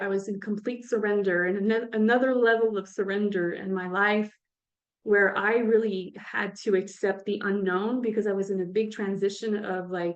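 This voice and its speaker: A woman with a French accent speaks at a moderate pace. Her fairly high voice stays monotone and flat. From French-speaking (France or Quebec). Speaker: author and coach. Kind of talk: interview. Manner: halting.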